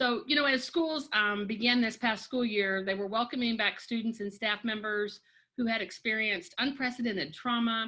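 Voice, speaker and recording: With a bright, sharp tone, a woman talks at a moderate pace, her fairly high voice showing ordinary pitch variation. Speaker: education coordinator. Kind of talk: webinar presentation.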